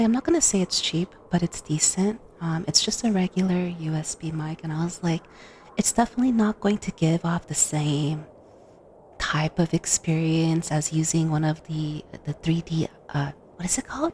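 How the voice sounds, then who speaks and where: Over noticeable background noise, a soft-spoken woman talks at a moderate pace in a fairly low voice with ordinary pitch variation and a dry, close sound with no echo. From Costa Rica. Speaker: vtuber ASMR streamer. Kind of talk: ASMR livestream chat. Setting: livestream.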